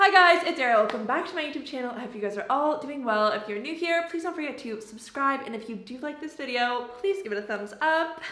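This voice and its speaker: A woman speaks in a raised, projected voice, high in pitch, with lively intonation and big swings in loudness. She goes at a very fast pace with hardly any pauses, and the room echo is audible. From Canada. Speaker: YouTuber. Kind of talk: casual chat. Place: home room. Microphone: camera far.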